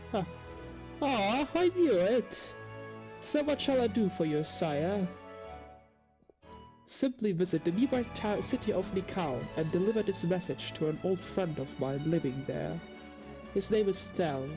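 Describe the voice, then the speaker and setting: Music plays in the background. The speech is fairly slow, with long, frequent pauses. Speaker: let's player. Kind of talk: reading game dialogue aloud with commentary.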